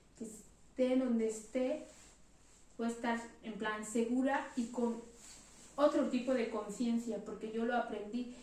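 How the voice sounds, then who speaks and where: A woman with a high pitch is heard with audible room echo. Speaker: church member giving a reflection. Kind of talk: testimony.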